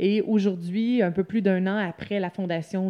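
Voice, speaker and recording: Over a quiet background, a woman speaks at medium pitch with a dark, mellow tone and monotone, flat intonation. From Quebec, Lanaudière. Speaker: co-founder of a coworking space. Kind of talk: interview.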